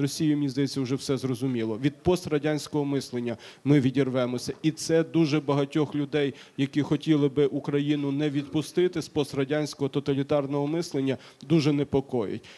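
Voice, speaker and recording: The voice has a dark, mellow tone, fairly even intonation and a fairly quick pace. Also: man, fairly high pitch for a man. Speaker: panelist on decentralization. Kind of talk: panel discussion. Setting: stage with audience. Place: hall. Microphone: handheld.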